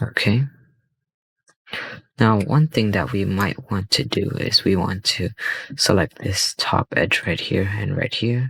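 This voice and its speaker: A quiet man with fairly low pitch and lively intonation, very slow pace with long, frequent pauses, in a dry, close sound with no echo. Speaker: 3D software tutorial youtuber. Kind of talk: tutorial. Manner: casual, hesitant with fillers.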